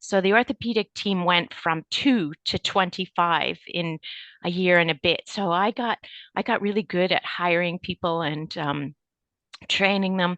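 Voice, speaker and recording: A woman with a Canadian accent and a plain, everyday voice speaks at a fairly low pitch and a fairly slow pace with ordinary pitch variation, in a dry, close sound with no echo and a quiet background. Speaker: medical device regulatory executive. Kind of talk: podcast interview.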